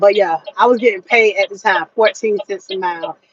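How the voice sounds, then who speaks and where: This woman has a normal speaking voice with a fairly high pitch and an American accent. She talks at a moderate pace in a dry, close sound with no echo. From Florida. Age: 40s. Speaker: truck driver. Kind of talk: casual vlog advice talk.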